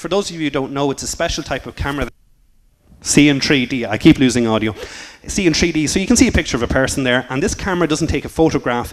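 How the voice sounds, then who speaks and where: A man speaks very fast, his pitch fairly high. Lively intonation marks his delivery. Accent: Irish. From Ireland. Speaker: computer science teacher. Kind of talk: conference talk.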